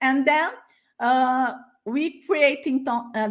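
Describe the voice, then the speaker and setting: A woman speaks with a Portuguese accent at a very slow pace, using ordinary pitch variation. The recording is very clean, with a silent background. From Brazil. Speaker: educator and teacher trainer. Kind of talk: conference presentation. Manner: halting, many fillers.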